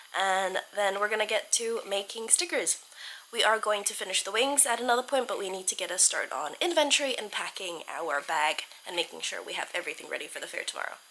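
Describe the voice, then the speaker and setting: Fairly high-pitched, a woman talks at a fairly quick pace with very wide pitch swings. Noticeable background noise can be heard. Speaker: art vlogger. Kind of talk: vlog narration. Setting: at home. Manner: casual, chatty.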